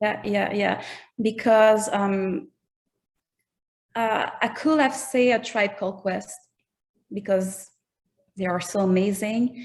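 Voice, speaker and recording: A woman with a Quebec accent at a medium pitch, very slow and full of long, frequent pauses. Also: ordinary pitch variation, very clean recording, silent background. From Quebec, Canada. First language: French. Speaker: rapper. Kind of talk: interview. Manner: halting.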